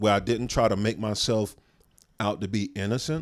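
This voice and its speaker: In a very clean recording with a silent background, a man with a normal speaking voice talks at a moderate pace, with medium pitch and ordinary pitch variation. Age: 40s. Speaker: comedian, podcast co-host. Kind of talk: casual chat.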